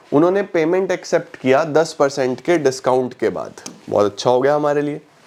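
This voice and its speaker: Noticeable background noise behind a man's moderate pace and ordinary pitch variation. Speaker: online commerce teacher. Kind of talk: tutorial. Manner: conversational, explaining.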